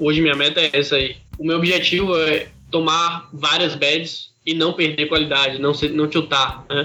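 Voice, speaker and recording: A man at a moderate pace with a fairly high pitch, monotone, flat intonation and very even loudness, over noticeable background noise. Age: 20s. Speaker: professional online poker player. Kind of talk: podcast interview.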